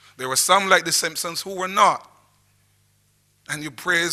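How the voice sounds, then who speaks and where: A man with a Barbadian accent speaks in a bright, sharp tone. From Barbados, St John parish. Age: 60s. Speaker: historian. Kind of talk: lecture. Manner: halting.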